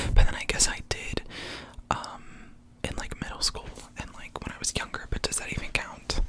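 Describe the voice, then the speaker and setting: Whispering at a moderate pace, a man pauses long and often, his loudness swinging widely, over noticeable background noise. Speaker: ASMR creator. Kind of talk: casual talk to camera.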